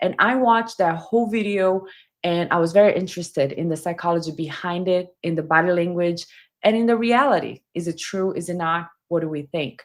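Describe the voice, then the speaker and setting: The speaker has a strong non-native accent and talks at a fairly quick pace with ordinary pitch variation. The recording is very clean, with a silent background. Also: woman, fairly low pitch for a woman. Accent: heavy foreign. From Brazil. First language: Portuguese. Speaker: body language commentator. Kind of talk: livestream commentary.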